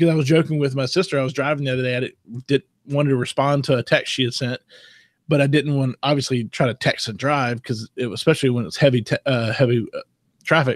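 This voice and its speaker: Over a very clean, silent background with dry, close sound and no echo, a man with a Southern US accent talks at a very fast pace and a fairly high pitch, with fairly even intonation. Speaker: tech podcast co-host. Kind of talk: casual chat.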